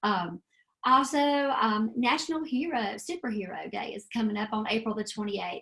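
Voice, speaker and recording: A woman with a Southern US accent speaks at a moderate pace. Her fairly high voice carries lively intonation. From US South. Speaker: extension educator. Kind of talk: webinar presentation. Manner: casual, lots of fillers.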